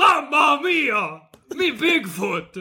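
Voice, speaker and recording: This man uses a put-on character voice. His pitch is extremely high. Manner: comedic.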